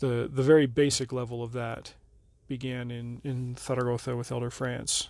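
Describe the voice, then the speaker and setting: A man at medium pitch with an American accent, monotone and flat, at a moderate pace, on a very clean recording with a silent background. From Nevada. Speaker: podcast host, former missionary. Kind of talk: personal storytelling narration.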